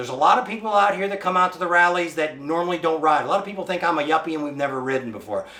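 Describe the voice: A man's fairly high voice, bright and sharp in tone, with lively intonation, a fast pace, few pauses, and audible room echo.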